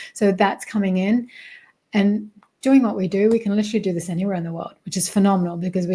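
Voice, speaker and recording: A woman with an Australian accent speaks very fast at medium pitch, her dark, mellow tone somewhat breathy and her intonation fairly even. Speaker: spiritual mentor and success coach. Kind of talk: interview conversation.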